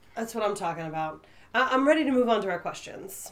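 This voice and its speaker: This is a put-on character voice, raspy and delivered at a very fast pace. Its pitch swings very widely. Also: woman, fairly high pitch for a woman. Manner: angry.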